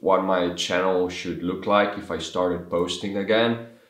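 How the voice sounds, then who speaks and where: Audible room echo follows a man whose fairly low pitch holds a fairly even intonation. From Slovenia. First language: Slovene. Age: 20s. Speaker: vlogger. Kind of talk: casual vlog monologue. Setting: talking to camera. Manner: halting.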